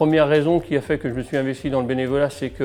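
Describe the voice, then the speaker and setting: A man talks very fast. Background music plays under his words. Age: 50s. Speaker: football club volunteer. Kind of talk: interview testimony.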